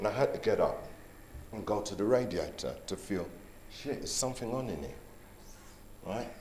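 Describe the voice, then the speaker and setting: Amid audible room echo, a man speaks at a fairly quick pace with long, frequent pauses. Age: 60s. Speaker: guest sharing his health experience. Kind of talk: personal testimony. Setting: resort venue with live audience. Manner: animated storytelling.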